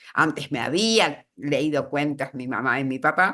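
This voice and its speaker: Very slow speech over a quiet background. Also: woman. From Argentina, Buenos Aires. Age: 80s+. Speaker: writer. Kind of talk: interview. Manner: animated, moves hands while talking.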